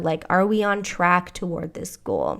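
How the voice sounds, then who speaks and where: At a fairly slow pace, a woman with an American accent speaks in a medium pitch and an animated tone on a very clean recording with a silent background. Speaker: business coach and podcast host. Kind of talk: podcast monologue with promotional pitch. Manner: casual, animated.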